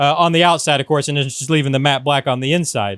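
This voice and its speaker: The sound is dry with no echo as a man speaks with lively intonation over a quiet background. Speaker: RC hobby channel host. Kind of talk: casual tutorial vlog. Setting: paint booth in workshop. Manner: loud, near shouting. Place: workshop. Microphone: camera far.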